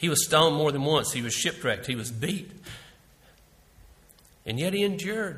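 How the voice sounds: A man speaks at a fairly slow pace in a fairly high pitch, with a fairly bright tone and lively intonation.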